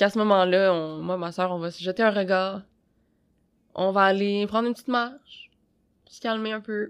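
A woman speaks at medium pitch and a moderate pace, with long, frequent pauses. Her intonation is fairly even, but her loudness swings widely. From Quebec. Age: 20s. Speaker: podcast co-host. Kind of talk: casual discussion.

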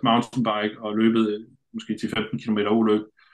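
This is a male voice. It has a medium pitch. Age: 40s. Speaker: adventure racer. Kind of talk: casual chat. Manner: halting, many filler sounds.

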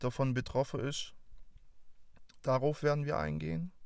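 A fairly high-pitched man with a Swabian accent at a fairly slow pace, on a very clean recording with a silent background. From Swabia, near Stuttgart. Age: 20s. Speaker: podcast host. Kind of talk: show introduction monologue. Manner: talkative.

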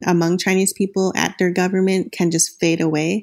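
Heard on a very clean recording with a silent background, a woman talks at a moderate pace in a fairly low pitch, using a normal speaking voice. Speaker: newspaper reporter. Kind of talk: interview answers.

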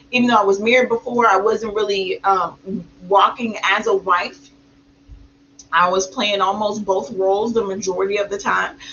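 A woman at medium pitch talks at a moderate pace with long, frequent pauses over noticeable background noise. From small country town. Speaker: podcast co-host, mother of eight and entrepreneur. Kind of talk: casual chat. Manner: animated.

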